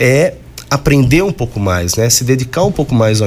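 A medium-pitched man at a moderate pace, his voice making very wide pitch swings over noticeable background noise. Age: 40s. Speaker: radio host and university professor. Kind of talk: radio talk show. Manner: halting, frequent repetitions and fillers.

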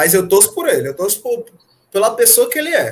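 A man talks at a fairly quick pace. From Brazil, Fortaleza. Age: 20s. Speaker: MMA fighter. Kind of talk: casual interview chat. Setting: live stream podcast.

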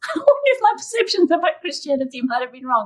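A woman talks at a fairly quick pace, her pitch swinging very widely. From South Africa. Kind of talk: interview, faith testimony.

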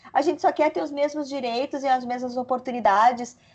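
A woman speaks at a moderate pace. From Santa Catarina, Brazil (Lages). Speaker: media executive. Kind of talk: casual chat.

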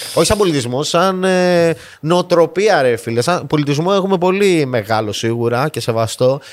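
An unremarkable speaking voice from a fairly high-pitched man, moderate in pace, with lively intonation and hardly any pauses. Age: 30s. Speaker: podcast host. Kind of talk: casual chat.

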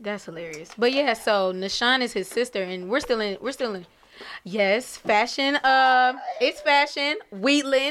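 With an American accent, a high-voiced woman talks at a fairly slow pace with lively intonation. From Pasadena, California, then Dallas area, Texas. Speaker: musician. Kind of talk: casual chat.

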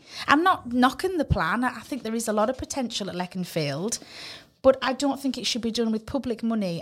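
A woman talks at a moderate pace in a Cumbrian accent with a fairly high pitch. The recording is very clean, with a silent background. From northern England. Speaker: community radio co-host, property professional. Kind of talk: casual chat. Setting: studio.

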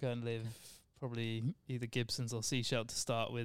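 The pace is very fast. A man speaks at medium pitch. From Devon, southwest England. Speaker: podcast guest. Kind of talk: casual chat, interview. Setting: studio.

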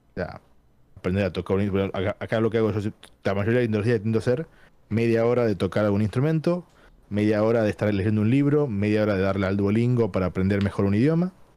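Speaking at a very fast pace, a man with a Tucumán accent has a fairly low, dark, mellow voice. His loudness stays very even, and his pitch varies in an ordinary way. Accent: Argentine Spanish (Tucumán). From Argentina, Tucumán. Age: 30s. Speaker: gaming industry professional. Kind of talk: casual interview chat. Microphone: good microphone setup.

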